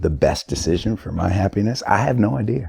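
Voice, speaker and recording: A man's dark, mellow, somewhat breathy voice moves at a moderate pace in a dry, close sound with no echo. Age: 40s. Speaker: musician. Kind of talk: casual chat. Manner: halting.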